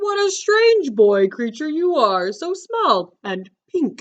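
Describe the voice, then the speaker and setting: The voice is a put-on character voice, high in pitch, with very wide pitch swings. It moves at a very slow pace. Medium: read story. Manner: friendly, jolly.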